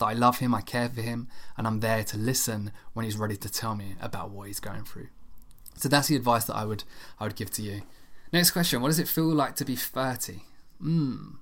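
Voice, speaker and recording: A man talks at a fairly quick pace in an ordinary speaking voice. His medium pitch has ordinary variation. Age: 30s. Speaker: podcast host. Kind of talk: casual solo Q&A podcast.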